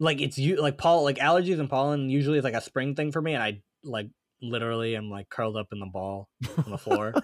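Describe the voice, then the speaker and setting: A man talks at a very fast pace and a medium pitch in a dry, close sound with no echo. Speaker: podcast co-host. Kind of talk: casual chat. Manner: halting, many fillers and restarts.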